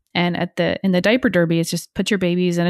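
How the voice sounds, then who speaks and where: A woman with an American accent speaks very fast in a fairly low voice with fairly even intonation. The sound is dry and close with no echo. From US Northeast, northern New Jersey. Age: 30s. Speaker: leadership coach. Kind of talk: casual interview chat.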